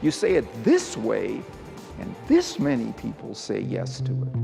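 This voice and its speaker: Music in the background behind a man's fairly slow delivery. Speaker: keynote speaker and persuasion researcher. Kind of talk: keynote talk excerpts in a promotional reel.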